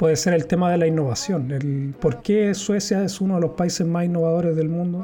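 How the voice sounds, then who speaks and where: A man with a Chilean accent, fairly high in pitch, at a moderate pace. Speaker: YouTuber and podcaster. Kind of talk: livestream monologue. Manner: hesitant, with fillers.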